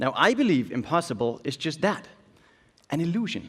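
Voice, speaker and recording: Talking in a Danish accent, a man uses a high pitch with very wide pitch swings. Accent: Danish accent, noticeable. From Denmark. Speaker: illusionist and keynote speaker. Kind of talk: keynote speech.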